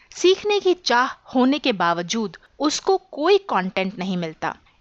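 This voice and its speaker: A woman's voice with very wide pitch swings, in a dry, close sound with no echo against a quiet background. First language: English (more comfortable than Hindi) (speaking Hindi). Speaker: YouTube tutorial creator, digital marketing specialist. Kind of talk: podcast monologue. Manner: formal, structured explanation.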